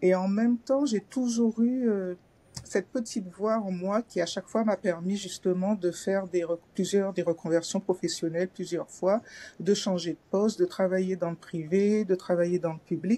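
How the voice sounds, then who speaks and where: Delivered at a moderate pace, the voice has a dark, mellow tone and fairly even intonation. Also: woman, medium pitch for a woman. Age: 60s. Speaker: former civil servant training as finance coach. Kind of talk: testimony. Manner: hesitant, many fillers.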